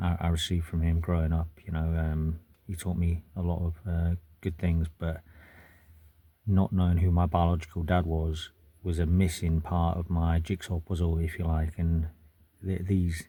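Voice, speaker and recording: A man with a British accent speaks at a moderate pace in a very deep, low pitch, his tone dark, mellow and somewhat breathy. His intonation is monotone and flat, and the recording is very clean with a silent background. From UK. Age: 40s. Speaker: military veteran vlogger. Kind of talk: personal testimony to camera. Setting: in a car. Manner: halting, many fillers.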